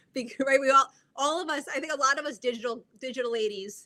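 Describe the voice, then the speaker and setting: A woman's high, bright, sharp voice in a New Jersey accent, very fast in pace with ordinary pitch variation. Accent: New Jersey American. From US Northeast, North Jersey. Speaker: media branding coach. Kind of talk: live video interview. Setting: live video stream.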